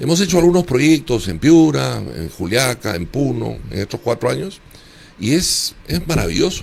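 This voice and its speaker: Over noticeable background noise, a man speaks at a moderate pace. His pitch swings very widely. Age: 70s. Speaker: former congressional candidate. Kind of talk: interview.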